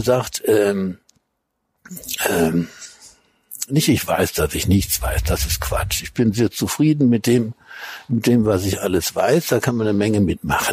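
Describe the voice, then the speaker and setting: Somewhat breathy, a man speaks at a fairly slow pace with very wide pitch swings and long, frequent pauses. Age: 70s. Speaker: food critic and cookbook author. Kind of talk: interview. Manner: halting.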